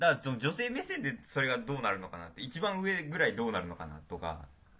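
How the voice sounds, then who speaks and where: A man with a bright, sharp tone and vocal fry speaks at a fairly quick pace, his pitch swinging very widely. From Tokyo. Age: young. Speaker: university student podcast co-host. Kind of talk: casual chat.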